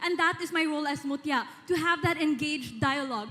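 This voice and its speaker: Noticeable background noise runs behind the recording. A woman speaks very fast with ordinary pitch variation. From Philippines. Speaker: beauty pageant contestant. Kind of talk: pageant Q&A answer. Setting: stage with audience.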